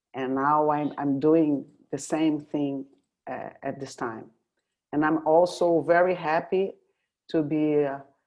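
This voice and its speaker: A woman with a very deep, low pitch speaks at a very slow pace, her fairly even intonation broken by long, frequent pauses. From Brazil, Rio de Janeiro. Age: 60s. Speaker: oil and gas executive. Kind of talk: interview. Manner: halting.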